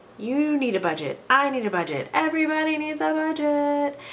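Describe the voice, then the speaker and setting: A woman's voice moves through very wide pitch swings at a moderate pace. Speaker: personal finance vlogger. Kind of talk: casual talk to camera.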